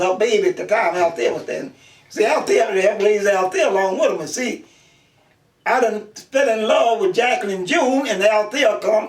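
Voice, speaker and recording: Speaking at a moderate pace, a man uses a high pitch and lively intonation. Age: 90s. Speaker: elderly interviewee. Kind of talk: oral history interview. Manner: halting.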